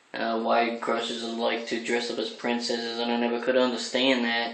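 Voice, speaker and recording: A man talks in a room with audible echo and noticeable background noise. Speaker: crossdressing vlogger. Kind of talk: casual vlog monologue. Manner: deliberately feminized voice, not natural speaking voice.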